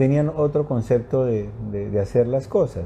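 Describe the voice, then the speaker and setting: Fairly slow, somewhat breathy speech from a man with a dark, mellow tone. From Colombia. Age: 60s. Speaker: journalist. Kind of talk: interview. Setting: live stream.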